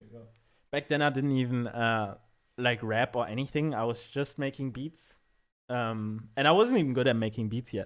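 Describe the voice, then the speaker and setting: A man with a German accent speaks at a moderate pace in a medium pitch, his intonation fairly even. His loudness swings widely. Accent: German accent, sometimes made thicker. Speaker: music producer. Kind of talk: casual chat.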